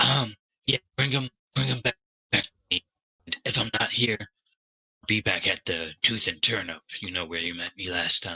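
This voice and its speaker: A man puts on a character voice at a medium pitch. It sounds raspy, with lively intonation and a moderate pace. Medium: actual play. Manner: hesitant, stammering, full of fillers.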